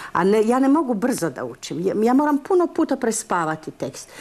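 Her pitch swings very widely as the woman talks at a moderate pace. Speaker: stage actress interviewed. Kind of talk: interview answer, telling an anecdote.

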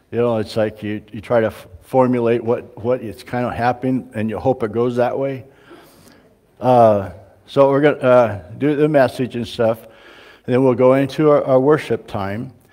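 Over a quiet background, a man with a dark, mellow tone speaks with fairly even intonation. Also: moderate pace. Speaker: pastor. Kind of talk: church announcements. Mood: relaxed and friendly. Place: church.

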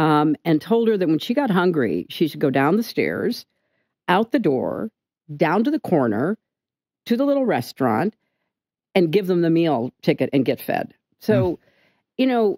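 With a dark, mellow tone and fairly low pitch, a woman speaks at a moderate pace with vocal fry and very wide pitch swings. Long, frequent pauses mark her speech, which has a dry sound with no echo and a quiet background. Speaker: interview guest. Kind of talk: interview answer. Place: studio. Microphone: studio mic.

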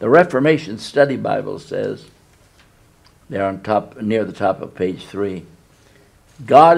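Using vocal fry, a man talks at a fairly slow pace broken by long, frequent pauses. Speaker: pastor. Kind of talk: sermon. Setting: church. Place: church.

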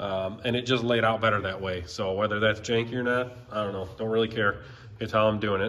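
Speaking at a very fast pace, a man keeps his intonation fairly even and his pitch fairly low. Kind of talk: tutorial. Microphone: phone near.

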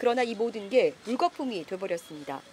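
A woman speaks with very wide pitch swings, and the sound is dry and close with no echo. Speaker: news talk show host. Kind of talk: panel discussion.

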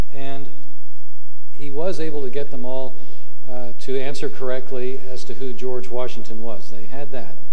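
The pace is moderate, and the speaker is a man. Fairly even intonation runs through what he says. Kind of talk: speech. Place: hall. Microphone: podium.

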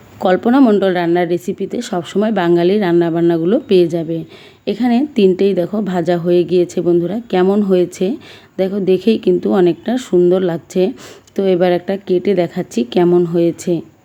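Her tone is dark and mellow at a medium pitch. The woman's loudness stays very even. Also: fairly even intonation. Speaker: cooking youtuber. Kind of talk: cooking tutorial.

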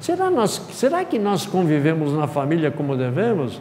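His pitch makes very wide swings as a man talks at a moderate pace. Light background noise sits behind him. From Brazil. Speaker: spiritist lecturer. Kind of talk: lecture. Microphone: lapel.

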